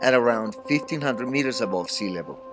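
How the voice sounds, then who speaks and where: A man with a strong Colombian accent over music in the background. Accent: thick Colombian Spanish. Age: 50s. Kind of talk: read-aloud class assignment narration.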